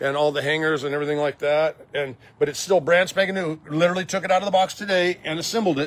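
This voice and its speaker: Enthusiastic in tone, a man talks at a fairly high pitch. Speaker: estate auction business owner. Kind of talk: walkthrough sales video. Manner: fast; enthusiastic, casual.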